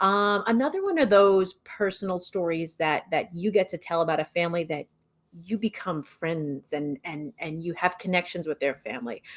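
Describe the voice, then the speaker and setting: Speaking at a moderate pace in an American accent, a woman with a fairly low pitch uses ordinary pitch variation and an animated tone, recorded with a dry, close sound and no echo. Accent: New York accent, suppressed on air. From New York, Brooklyn. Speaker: TV news journalist. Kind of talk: podcast interview.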